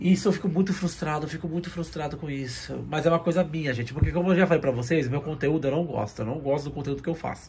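Over light background noise, a man speaks at a very fast pace, somewhat breathy and fairly high-pitched, with ordinary pitch variation. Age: 30s. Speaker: manga YouTuber. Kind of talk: personal vlog. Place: home room. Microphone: phone near.

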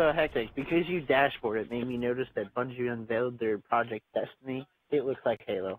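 A man with an unremarkable speaking voice at medium pitch talks at a fairly quick pace. He uses hardly any pauses and ordinary pitch variation. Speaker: esports co-commentator. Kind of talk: live commentary.

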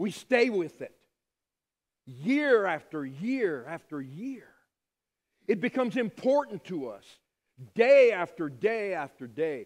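Over a quiet background, a man with a high pitch speaks at a very slow pace with long, frequent pauses, very wide pitch swings and big swings in loudness. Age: 50s. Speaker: pastor. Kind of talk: sermon. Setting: church. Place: church.

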